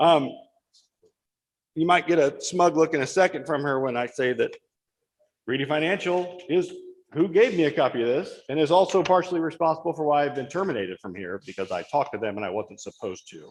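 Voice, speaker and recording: This man's voice sits fairly high, with lively intonation and vocal fry. He talks at a very fast pace. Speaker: firefighter speaking at public comment. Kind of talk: public comment at township board meeting. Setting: township board meeting room. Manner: loud.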